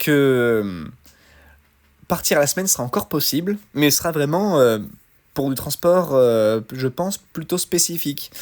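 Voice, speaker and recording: Lively intonation marks this man's speech, with a Lyon accent. His pace is fairly slow. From France, Lyon area. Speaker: truck driver podcaster. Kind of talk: solo podcast commentary. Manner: halting, many fillers.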